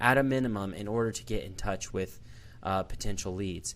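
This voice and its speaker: A man's voice, fairly low in pitch. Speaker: marketing agency podcast host. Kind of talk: business presentation talk.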